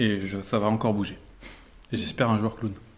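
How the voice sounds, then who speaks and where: A man talks with fairly low pitch. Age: 40s. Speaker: mediator and coach, clown student. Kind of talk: interview before live audience. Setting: recorded with live audience. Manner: hesitant, many fillers.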